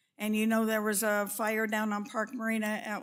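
Speaking with a Western US accent, a woman talks at a moderate pace in a fairly high voice. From Northern California. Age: 80s+. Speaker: public commenter at city meeting. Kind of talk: public comment. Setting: council chamber meeting.

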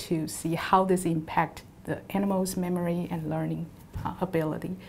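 Over light background noise, a woman speaks at a moderate pace in a fairly low, somewhat breathy voice with a dark, mellow tone and monotone, flat intonation. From Taiwan. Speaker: university professor and lab principal investigator. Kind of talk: interview monologue about her background and research. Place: office. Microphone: lapel.

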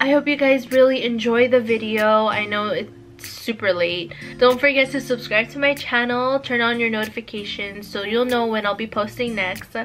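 Faint music plays in the background as a woman speaks at a moderate pace with fairly even intonation. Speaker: vlogger. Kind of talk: casual vlog chat. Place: home room. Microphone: camera far.

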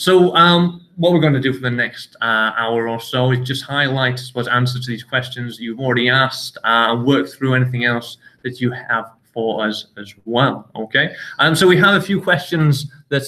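A man with a northern English accent speaks at a moderate pace and a medium pitch. His pitch variation is ordinary, and he takes hardly any pauses. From northern England. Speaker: university international office staff. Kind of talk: live Q&A session. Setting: sports facility, filmed live. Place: meeting room. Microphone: webcam.

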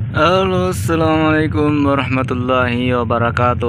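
Moderate pace and ordinary pitch variation from a man, with noticeable background noise and a dry sound with no echo. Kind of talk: casual vlog chat. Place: boat. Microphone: phone near.

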